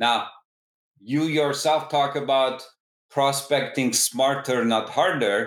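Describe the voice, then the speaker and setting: At a very slow pace, a man speaks with a fairly high pitch and fairly even intonation. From Turkey (Istanbul). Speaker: tech startup founder and CEO. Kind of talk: podcast interview.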